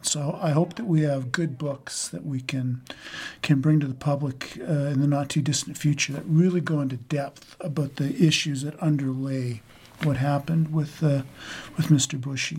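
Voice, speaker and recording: At a moderate pace, a man talks in a fairly high pitch with fairly even intonation. His voice is somewhat breathy. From rural Saskatchewan, Canada. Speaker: book editor. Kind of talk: interview answers.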